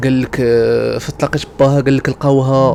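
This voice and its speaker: A man speaks at a moderate pace with a Moroccan accent, and there is noticeable background noise. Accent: Moroccan Darija. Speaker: gaming YouTuber. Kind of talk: horror story told over gameplay. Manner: casual, conversational.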